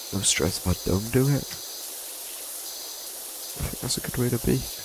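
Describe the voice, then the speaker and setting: A soft-spoken man with lively intonation, against noticeable background noise. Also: moderate pace. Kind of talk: low-energy sleep gaming commentary. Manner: low, muffled, soft-spoken.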